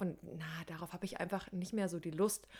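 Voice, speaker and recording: A woman's fairly low-pitched voice in a flat monotone. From Saxony, Germany. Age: 20s. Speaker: podcast co-host, social work student. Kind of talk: casual chat.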